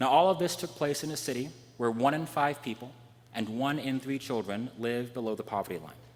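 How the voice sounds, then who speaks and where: Quiet yet lively in intonation, a man with an American accent speaks at a medium pitch. He goes at a fairly quick pace. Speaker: preacher. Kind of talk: sermon. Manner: fast.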